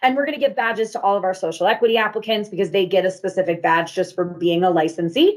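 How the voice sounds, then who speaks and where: Her intonation lively, a woman races through her words at a very fast pace. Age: 30s. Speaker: city cannabis program official. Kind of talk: presentation to business audience. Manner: animated.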